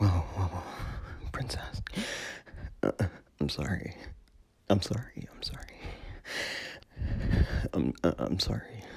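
In a put-on character voice, a man whispers slowly with a husky, rough edge and vocal fry, leaving long, frequent pauses.

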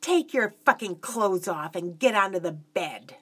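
A woman puts on a character voice at medium pitch, bright and sharp in tone with a slightly husky edge. She talks at a fairly slow pace with lively intonation.

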